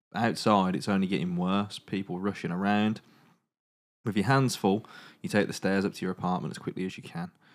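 A man with an English accent, a playful tone, fairly low pitch, a fairly quick pace and ordinary pitch variation. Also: very clean recording, silent background. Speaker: podcast host. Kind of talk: dramatic narration of a choose-your-own-adventure zombie book. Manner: suspenseful storyteller voice, hushed for tense moments; breaks into playful asides and mock accents.

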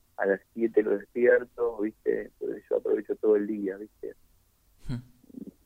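The speaker has an Argentine accent. The pace is very slow. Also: man. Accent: Rioplatense Argentine Spanish. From Argentina, Buenos Aires (Boedo). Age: 50s. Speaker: poet and writer. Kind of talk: interview.

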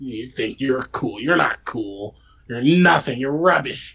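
A man puts on a character voice at a medium pitch. He delivers it at a fairly slow pace. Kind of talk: insulting. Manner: mocking, taunting.

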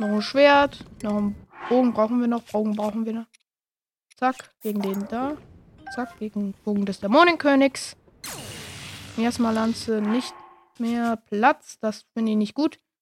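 With music in the background, the speech moves at a fairly slow pace with long, frequent pauses and ordinary pitch variation, in a dry, close sound with no echo. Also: woman, fairly high pitch for a woman. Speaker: gaming video creator. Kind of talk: live gameplay commentary. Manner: animated.

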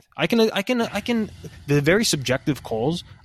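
On a very clean recording with a silent background, a man's voice swings very widely in pitch, the sound dry and close with no echo. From both US and Europe/UK. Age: 30s. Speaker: football coach and podcast co-host. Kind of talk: casual chat. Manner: halting, many repeated words.

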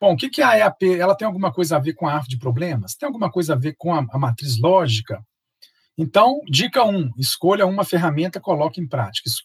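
Talking at a very fast pace, a man with a high pitch and lively intonation comes through in a dry, close sound with no echo. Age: 40s. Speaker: project management instructor and consultant. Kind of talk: interview.

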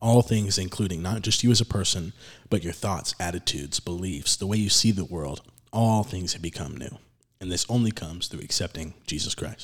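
A man speaks in a very deep, low pitch, somewhat breathy. His pace is fairly quick. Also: ordinary pitch variation. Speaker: podcast host. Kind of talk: casual religious discussion podcast. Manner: casual, chatty.

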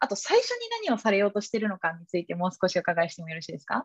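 A woman, recorded with a dry, close sound and no echo. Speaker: podcast host. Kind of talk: interview. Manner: hesitant.

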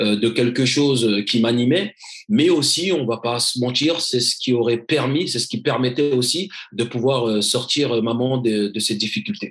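Somewhat breathy, a man's voice moves at a fairly slow pace. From Paris suburbs (Seine-Saint-Denis). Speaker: former pro footballer, motivational speaker. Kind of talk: interview. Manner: halting, many repetitions.

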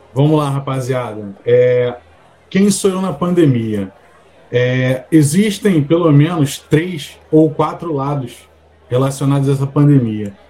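Very slowly, a man speaks in a fairly high, somewhat breathy voice with ordinary pitch variation. His tone is dark and mellow. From Rio de Janeiro. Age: 40s. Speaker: podcast co-host. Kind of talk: casual chat.

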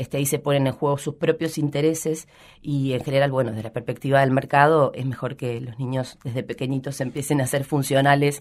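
A woman speaks with a very deep, low pitch at a fairly quick pace. Her intonation stays monotone and flat. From Buenos Aires province, Argentina (Rojas). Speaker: educator / childhood expert. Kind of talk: radio interview.

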